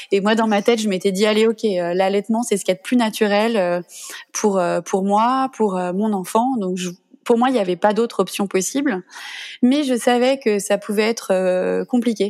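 On a very clean recording with a silent background, a woman speaks at a fairly slow pace in a medium pitch with ordinary pitch variation. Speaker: mother sharing breastfeeding story. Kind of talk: testimony. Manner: gentle, spontaneous.

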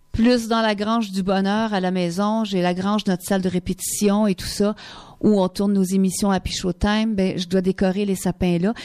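With a Quebec accent, a woman speaks at a medium pitch and moderate pace, her tone dark and mellow, her intonation monotone and flat, in a very clean recording with a silent background. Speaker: singer. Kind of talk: radio interview. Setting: radio studio.

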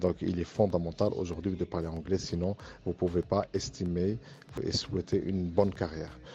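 Very deep and low, a man's voice comes across dark, mellow, and somewhat breathy. His intonation stays fairly even. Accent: Arabic. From Morocco. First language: Arabic (speaking French). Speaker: university professor and engineering firm director. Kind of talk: interview testimony.

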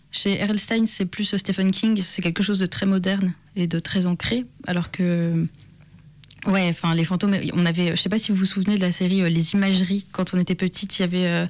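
A woman's medium-pitched voice, monotone and flat, at a moderate pace with very even loudness. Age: 20s. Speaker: author. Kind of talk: interview.

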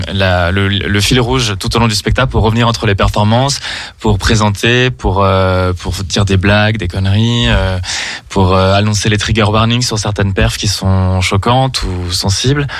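Noticeable background noise accompanies a man speaking at a fairly low pitch and a fairly slow pace, with fairly even intonation. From Saint-Étienne, France. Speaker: drag queen. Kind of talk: radio interview.

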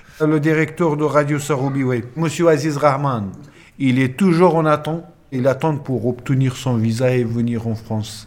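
A man with a Pashto accent speaks at a fairly slow pace in a fairly high pitch, with ordinary pitch variation. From Afghanistan, Nangarhar. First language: Pashto (speaking French). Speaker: former military interpreter. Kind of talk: interview testimony.

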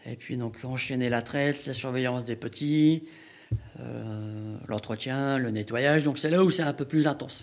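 At a fairly slow pace, a man talks in an unremarkable speaking voice of medium pitch with ordinary pitch variation. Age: 40s. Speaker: sheep farmer and cheesemaker. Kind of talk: interview.

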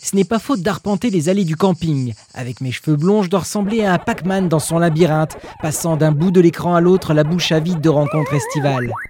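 A high-pitched man's playful voice at a fairly quick pace, with ordinary pitch variation and music in the background. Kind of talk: literary audiobook reading. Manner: wry and tender, humorous first-person diary reading with playful irony.

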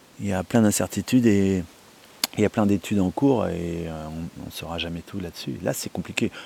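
A man speaks in a very deep, low voice with long, frequent pauses, the sound dry and close with no echo, over noticeable background noise. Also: ordinary pitch variation. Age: 40s. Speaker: salt farmer. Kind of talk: interview. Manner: hesitant, many fillers.

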